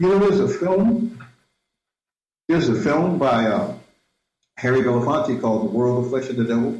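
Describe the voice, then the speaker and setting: A man with a fairly high, somewhat breathy voice speaks at a moderate pace, his pitch swinging very widely. Long, frequent pauses break up his speech, and the room echo is audible. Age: 60s. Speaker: filmmaker and Afrofuturism researcher. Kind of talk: interview. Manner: halting, with many repetitions.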